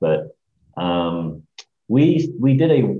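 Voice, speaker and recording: His pitch swings very widely. The man talks with an American accent. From Hong Kong, then California Bay Area. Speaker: agency CEO and creative director. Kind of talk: interview. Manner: hesitant, many fillers.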